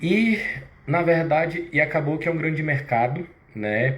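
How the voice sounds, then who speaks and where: The man's voice carries audible room echo. His pitch varies in an ordinary way. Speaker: fitness business owner and live host. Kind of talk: live stream sales pitch. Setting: live stream. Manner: halting.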